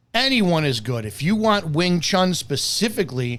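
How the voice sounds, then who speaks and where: A man speaks loudly in an animated tone with an American accent. His fairly high voice swings very widely in pitch. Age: 50s. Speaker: martial arts instructor. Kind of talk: opinionated video commentary.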